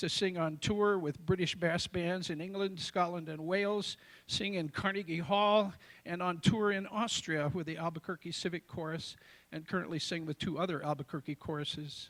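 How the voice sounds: A man's high-pitched voice with fairly even intonation, a fairly bright tone and a moderate pace.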